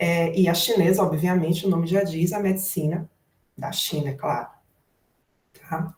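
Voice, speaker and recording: A woman talks fairly slowly at a medium pitch, her voice somewhat breathy. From Brazil, Salvador (Bahia). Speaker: therapist in Ayurveda and Chinese medicine. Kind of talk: online lecture. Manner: informal, conversational.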